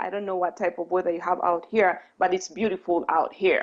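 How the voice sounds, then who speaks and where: This woman has a medium pitch and a non-native accent. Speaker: spiritual coach and speaker. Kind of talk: talk. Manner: deliberately slow.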